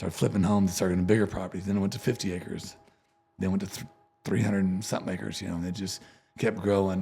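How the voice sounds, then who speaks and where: In a very deep, low voice, a man talks very fast with monotone, flat intonation. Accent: Texan. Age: 50s. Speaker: country musician. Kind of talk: casual interview chat.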